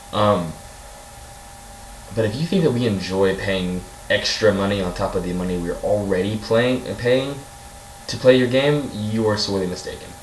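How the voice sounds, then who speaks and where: With long, frequent pauses, a man of fairly low pitch talks amid audible room echo and noticeable background noise. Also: ordinary pitch variation. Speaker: gaming YouTuber. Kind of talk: rant. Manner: fast; animated.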